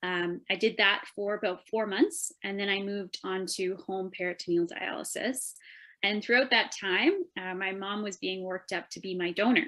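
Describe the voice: A woman's bright, sharp voice at medium pitch, with fairly even intonation and a moderate pace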